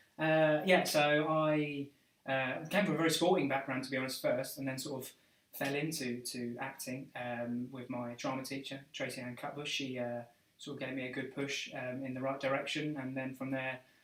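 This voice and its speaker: His intonation is fairly even. The man's pitch sits in the medium range. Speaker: actor, live stream co-host. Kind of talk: casual live stream chat. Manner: fast; stumbling over words.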